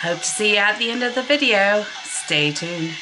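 Clear music sits in the background. Over it, a woman speaks at a moderate speed. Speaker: vlogger. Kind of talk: casual vlog chat. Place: home room. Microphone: webcam.

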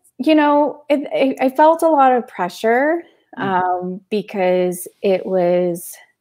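Over a quiet background, a woman with a Canadian accent speaks very slowly in a dark, mellow tone, with very wide pitch swings. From Canada, London, Ontario; East Indian family. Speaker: spiritual consultant and DJ. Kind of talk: casual interview. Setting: video call. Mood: warm, reflective. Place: home room.

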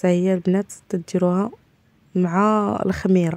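A woman talks at a medium pitch, her intonation flat and monotone. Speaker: home cooking vlogger. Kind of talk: cooking tutorial. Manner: casual, frequent hesitations.

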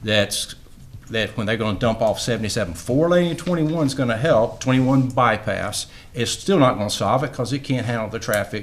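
A man speaks at a moderate pace. His fairly low voice shows ordinary pitch variation.

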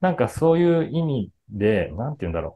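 A man speaks at a fairly quick pace in a dark, mellow tone. His intonation is lively.

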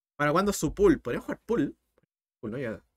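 The speaker has a Chilean accent and an animated tone. Vocal fry runs through the voice as the pitch swings very widely. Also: man. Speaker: math teacher. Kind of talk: live-streamed math tutorial. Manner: fast. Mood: earnest motivational talk. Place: home room.

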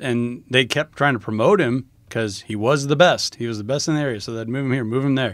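In a very clean recording with a silent background, a man with an American accent uses a plain, everyday voice at a medium pitch with ordinary pitch variation. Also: fairly quick pace. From rural US small town. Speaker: podcast co-host. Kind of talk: casual chat.

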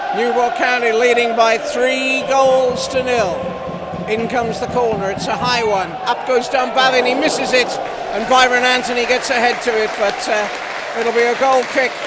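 Amid loud background noise, a man speaks at a fairly slow pace. His voice is extremely high, and the sound is dry with no echo. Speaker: football match commentator. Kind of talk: live football play-by-play commentary. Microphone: headset.

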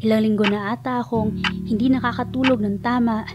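Music playing behind a woman's fairly quick delivery. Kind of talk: spoken word poetry.

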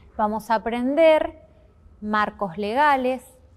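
Delivery from this woman is very slow. Pitch variation stays ordinary. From Argentina, Chubut province. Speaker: course instructor. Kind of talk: course presentation video. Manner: formal. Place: classroom.

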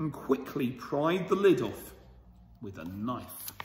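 A man with a fairly high pitch, amid light background noise and audible room echo. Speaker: school storyteller reading to children. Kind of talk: bedtime story reading aloud to children, with a warm, cosy storybook tone. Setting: video recorded for children, school channel. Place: hall. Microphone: phone near.

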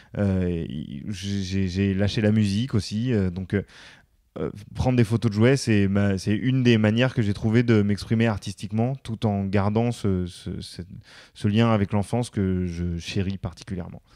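This man has a fairly low, dark, mellow voice and speaks at a fairly slow pace with fairly even intonation. The recording is very clean, with a silent background. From France, suburbs (banlieue). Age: 30s. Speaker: former radio host, media worker, father. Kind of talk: casual interview chat. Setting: studio. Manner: at ease on the mic; hesitant, many fillers.

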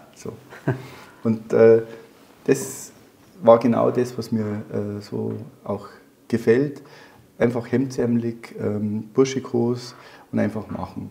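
A man with a dark, mellow tone speaks at a very slow pace, leaving long, frequent pauses. His loudness swings widely while his pitch varies in an ordinary way. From Bavaria, Germany. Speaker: former police officer and soldier. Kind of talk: interview answer. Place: studio. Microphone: lapel.

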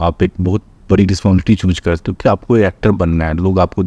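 In a dry recording with no echo, a man with a very deep, low pitch and a dark, mellow tone speaks at a moderate pace. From Bihar, India (Madhubani district); Bihar. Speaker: actor and film director; actor. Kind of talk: interview. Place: studio.

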